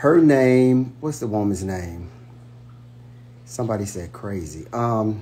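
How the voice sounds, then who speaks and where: Pausing long and often at a very slow pace, a man speaks at a fairly low pitch with lively intonation, a somewhat breathy, dark, mellow tone, and audible room echo. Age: 60s. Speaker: livestreamer, brother of reality TV star. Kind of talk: casual livestream chat. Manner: hesitant, many fillers.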